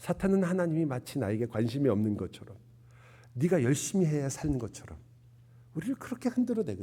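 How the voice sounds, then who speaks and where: Using very wide pitch swings, a man with a dark, mellow tone speaks at a moderate pace. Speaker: pastor. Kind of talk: sermon.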